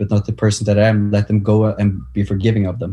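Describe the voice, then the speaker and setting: The man's voice is fairly low in pitch, somewhat breathy and dark and mellow in tone. The recording is very clean, with a silent background. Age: 20s. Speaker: personal development coach. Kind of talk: casual interview.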